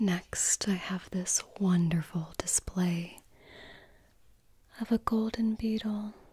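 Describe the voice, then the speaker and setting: Whispering at a very slow pace, a soft-spoken woman sounds somewhat breathy, with very even loudness. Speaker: ASMR roleplay host. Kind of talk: soft-spoken roleplay talk. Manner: soft, close ASMR whisper. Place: home room.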